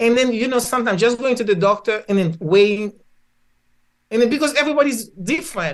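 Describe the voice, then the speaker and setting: Animated in tone, a woman with a Haitian accent talks at a fairly quick pace and fairly high pitch, using lively intonation and long, frequent pauses. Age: 70s. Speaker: physician and spiritual healer. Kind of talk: podcast interview.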